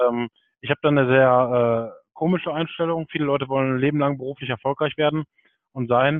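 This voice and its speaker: Using an ordinary speaking voice, a man talks at a fairly quick pace with a fairly high pitch and fairly even intonation. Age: 30s. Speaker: PR manager. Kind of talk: interview.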